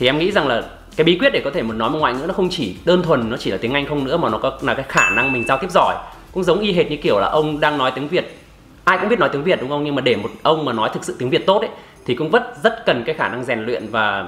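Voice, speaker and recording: Over noticeable background noise, a man with a fairly high pitch talks very fast, his pitch swinging very widely. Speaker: English-learning youtuber. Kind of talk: casual conversation.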